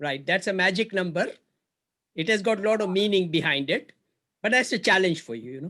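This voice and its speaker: Raised and projected, a man's high-pitched voice has a bright, sharp tone and lively intonation, moving at a fairly quick pace broken by long, frequent pauses. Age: 60s. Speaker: investor. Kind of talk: business negotiation.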